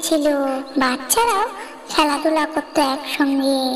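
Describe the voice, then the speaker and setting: A woman does a squeaky, cartoonish character voice against loud background noise. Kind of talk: bedtime story.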